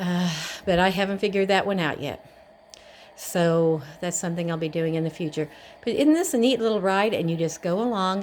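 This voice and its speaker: A woman with an unremarkable speaking voice talks at a fairly quick pace, her pitch medium and its variation ordinary. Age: 60s. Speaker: vlogger reviewing exercise bike. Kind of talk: casual product demo. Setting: at home. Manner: casual, chatty.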